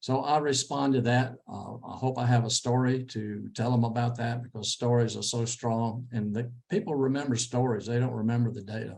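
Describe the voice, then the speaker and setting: A man with a Texan accent at a medium pitch, moderate pace and fairly even intonation, with hardly any pauses. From Texas. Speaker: interview coach. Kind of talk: lecture.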